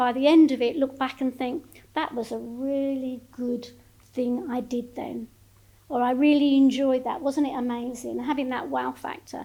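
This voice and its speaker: At a moderate pace, a woman with a high pitch speaks in a monotone, flat intonation. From Essex, Thames estuary (Grays, Thurrock). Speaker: emeritus professor of plant sciences. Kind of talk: public lecture. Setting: lecture hall with live audience. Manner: conversational, informal.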